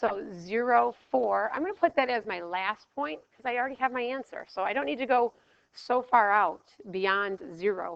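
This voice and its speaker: In a plain, everyday voice, a woman talks at a moderate pace. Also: fairly high pitch for a woman, lively intonation. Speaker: math teacher. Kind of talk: lecture.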